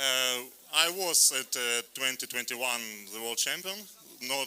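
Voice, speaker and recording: Against noticeable background noise, a man of medium pitch talks fairly slowly with ordinary pitch variation. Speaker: rower. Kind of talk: post-race interview. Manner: halting.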